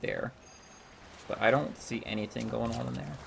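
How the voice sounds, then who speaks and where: Over music in the background, a man talks with an American accent. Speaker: gaming streamer. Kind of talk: live gameplay stream chat. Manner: casual, many filler words.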